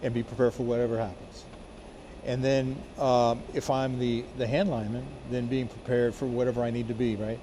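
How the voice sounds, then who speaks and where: Speech comes at a fairly quick pace with monotone, flat intonation. Noticeable background noise runs underneath. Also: man, medium pitch for a man. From Miami, Florida (born in Colombia). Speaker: firefighter. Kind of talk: interview. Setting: fire station. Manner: halting, many fillers and restarts.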